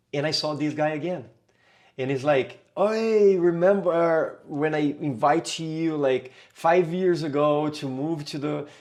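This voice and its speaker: This man's voice sits fairly high. Its pitch moves in an ordinary way. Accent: Brazilian Portuguese. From Brazil, São Paulo. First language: Portuguese. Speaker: capoeira teacher. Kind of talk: podcast interview. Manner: halting, many fillers.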